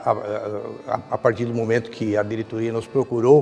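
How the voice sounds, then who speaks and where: A man at medium pitch and a moderate pace, with music in the background. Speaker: judiciary official. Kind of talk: interview answer.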